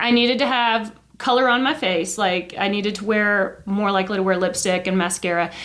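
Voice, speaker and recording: A woman's fairly quick speech comes through with noticeable noise behind it. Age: 50s. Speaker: podcast co-host, schoolteacher. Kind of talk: casual chat.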